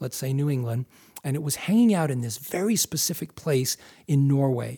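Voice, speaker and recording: A man with an American accent speaks at a fairly high pitch in a dark, mellow, somewhat breathy tone. His moderate pace and lively intonation come through on a very clean recording with a silent background. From US Northeast (Massachusetts). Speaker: wildlife photographer and filmmaker. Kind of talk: interview.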